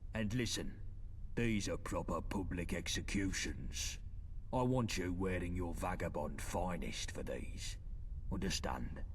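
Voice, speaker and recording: Over clear background noise, a man performs a put-on character voice at a fairly slow pace. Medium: machinima. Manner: cold, commanding.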